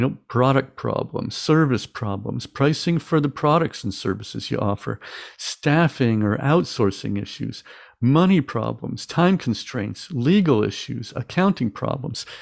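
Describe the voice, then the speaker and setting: In a very clean recording with a silent background, a man of medium pitch talks fairly slowly, with vocal fry and lively intonation. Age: 50s. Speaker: small business coach and podcast host. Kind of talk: solo podcast monologue.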